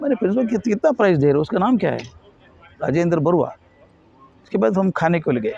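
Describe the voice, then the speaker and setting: Over noticeable background noise, a man speaks high in pitch with very wide pitch swings, very even loudness, and long, frequent pauses. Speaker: educationist and motivational speaker. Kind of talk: interview. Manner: somewhat halting non-native Hindi mixed with English.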